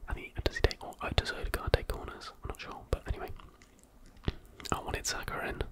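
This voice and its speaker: Someone whispers over noticeable background noise. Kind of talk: ASMR whispered talk about fantasy football. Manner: whispered, soft-spoken.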